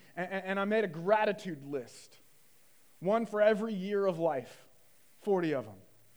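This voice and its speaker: A high-pitched man speaks at a moderate pace with ordinary pitch variation, big swings in loudness, and long, frequent pauses, amid audible room echo. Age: 40s. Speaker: pastor. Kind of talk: sermon. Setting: church.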